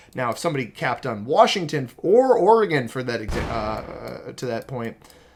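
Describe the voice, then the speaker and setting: With an American accent, a man speaks with very wide pitch swings. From United States. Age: 20s. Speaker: video game streamer. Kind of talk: live gameplay commentary. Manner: casual, with many fillers.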